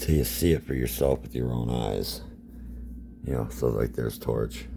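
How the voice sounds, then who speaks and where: Over noticeable background noise, a man with a very deep, low pitch speaks at a moderate pace in a monotone, flat delivery. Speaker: toy collector YouTuber. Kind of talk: toy review. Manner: casual, filler-heavy.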